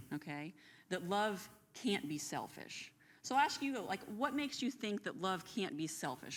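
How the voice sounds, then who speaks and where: A loud woman's voice with very wide pitch swings, in a very clean recording with a silent background. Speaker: Bible class co-host. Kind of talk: Bible study discussion. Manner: animated.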